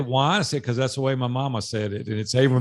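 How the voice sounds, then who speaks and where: The speaker is a man with a Southern US accent. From Nashville, Tennessee. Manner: warm, friendly.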